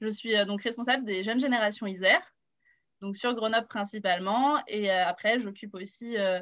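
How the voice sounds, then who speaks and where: A woman's fairly high voice at a moderate pace, with ordinary pitch variation and a quiet background. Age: 20s. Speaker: youth political activist. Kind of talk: panel introduction. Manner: hesitant, many fillers.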